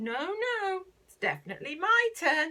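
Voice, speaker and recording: A woman does a squeaky put-on character voice at an extremely high pitch and a moderate pace. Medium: read story.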